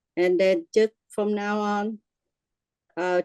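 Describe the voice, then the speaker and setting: A woman's dark, mellow voice at medium pitch, dry and close with no echo. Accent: Vietnamese. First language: Vietnamese. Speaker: workshop participant. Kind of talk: testimony. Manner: halting.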